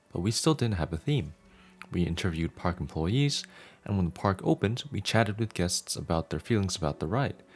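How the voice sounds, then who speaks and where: A man with a very deep, low pitch, lively intonation, and a fairly quick pace, over music in the background. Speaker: audiobook narrator. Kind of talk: reading aloud.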